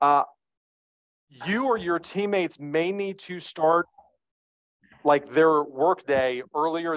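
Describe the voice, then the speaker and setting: A man with an American accent and ordinary pitch variation over a quiet background. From northern New Jersey. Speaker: real estate agent; presenter. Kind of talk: training presentation. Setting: video call. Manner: animated. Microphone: webcam.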